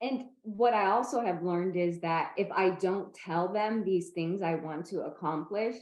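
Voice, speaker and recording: With an American accent, a woman talks at a fairly slow pace with hardly any pauses, her medium pitch showing ordinary variation in an unremarkable speaking voice. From Northern California. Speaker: person with epilepsy, advocate. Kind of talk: interview conversation.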